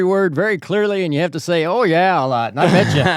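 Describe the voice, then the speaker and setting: Amid noticeable background noise, a man talks at a very fast pace with lively intonation. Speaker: podcast host. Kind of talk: interview.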